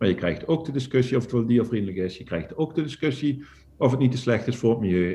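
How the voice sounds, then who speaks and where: A man's dark, mellow, somewhat breathy voice at medium pitch, delivered at a very fast pace. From Netherlands, northern Limburg. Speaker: poultry farmer and entrepreneur. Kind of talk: casual interview.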